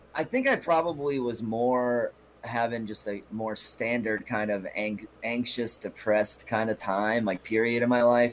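A man with an unremarkable speaking voice, medium pitch and a fairly slow pace. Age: 30s. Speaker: comedian. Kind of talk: casual chat.

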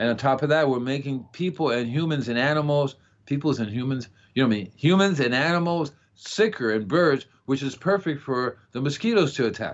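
Speaking fairly quickly with an American accent, a man uses lively intonation at a fairly high pitch. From Florida. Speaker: gardening show host. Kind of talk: casual chat. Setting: phone call. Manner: fast.

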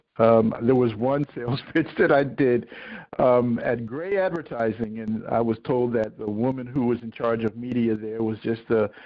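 In a normal speaking voice, a man with an American accent talks at a fairly slow pace, with medium pitch and fairly even intonation. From US Northeast, Philadelphia. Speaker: TV producer and science fiction writer. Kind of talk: interview. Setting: phone call.

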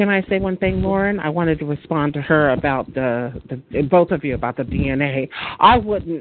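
The speech moves at a moderate pace with noticeable background noise behind it. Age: 50s. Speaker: caller. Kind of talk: call-in group discussion. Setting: phone conference call.

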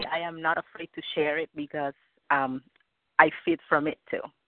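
A woman speaks with a slight Cuban accent at a moderate pace. Her pitch swings very widely. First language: Spanish. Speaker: caller. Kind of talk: casual chat. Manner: halting. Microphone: phone.

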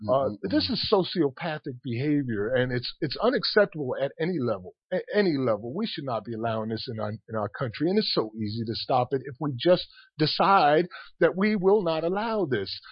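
With an American accent, a man talks at a fairly quick pace in a fairly high, somewhat breathy voice that makes very wide pitch swings. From Paterson, New Jersey. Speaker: activist. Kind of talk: radio discussion.

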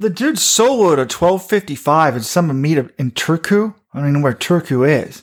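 A man speaks in a normal speaking voice at a moderate pace. His pitch is fairly high, and his intonation is lively. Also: hardly any pauses. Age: 40s. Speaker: running website co-founder and podcast host. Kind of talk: casual chat.

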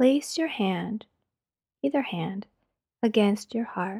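Her pitch is fairly high, her intonation lively, and her pace very slow, with a dark, mellow, somewhat breathy tone that is gentle and soothing. The woman's voice sounds dry and close, with no echo. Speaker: meditation leader. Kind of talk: guided meditation. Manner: slow, soft, calming.

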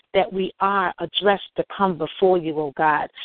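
A woman has a normal speaking voice at medium pitch. She talks at a moderate pace with ordinary pitch variation. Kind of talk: fervent prayer.

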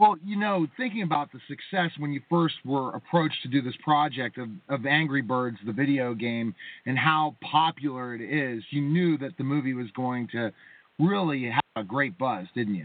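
With an ordinary speaking voice, a man talks at a moderate pace in a fairly high pitch with lively intonation. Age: 40s. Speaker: radio host. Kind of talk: interview. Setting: phone call. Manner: excitable.

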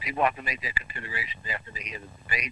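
A man with an American accent at a very fast pace, against noticeable background noise. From New York City. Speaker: medical doctor, weekly political commentator. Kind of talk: radio phone interview.

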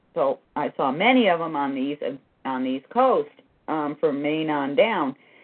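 Fairly slow speech over music in the background. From US Northeast (Massachusetts). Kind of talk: casual chat with read-aloud history. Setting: recorded live online.

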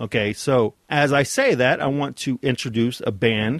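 Against a quiet background, recorded dry and close with no echo, a man with an unremarkable speaking voice talks at a fairly slow pace in a medium pitch with ordinary variation. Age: 40s. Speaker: podcast host. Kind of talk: solo podcast monologue.

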